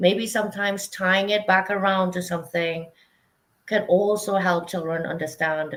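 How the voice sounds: A woman's voice at a fairly slow pace, medium in pitch, fairly bright in tone, with fairly even intonation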